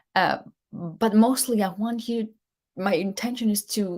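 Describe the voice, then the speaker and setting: Over a silent background in a very clean recording, a woman with a non-native accent talks at a medium pitch with vocal fry. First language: not English. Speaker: leadership coach and show host. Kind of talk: live show monologue. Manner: halting, with false starts.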